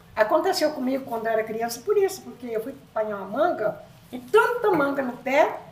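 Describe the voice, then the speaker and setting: Over noticeable background noise, a woman talks at a fairly quick pace and high pitch, with very wide pitch swings and big swings in loudness. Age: 70s. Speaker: podcast guest, grandmother. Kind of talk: casual chat.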